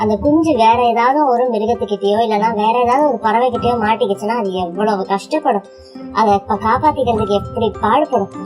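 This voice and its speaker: Music plays in the background as a woman speaks. Her pitch is fairly high, with ordinary pitch variation. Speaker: storyteller. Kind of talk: bedtime story for children. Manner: calm, soothing.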